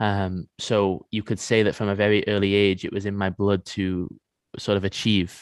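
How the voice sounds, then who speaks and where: Man at a fairly low pitch, moderate pace and monotone, flat intonation, dry, close sound with no echo, quiet background. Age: 20s. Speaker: men's coach and former pro athlete. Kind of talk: podcast interview.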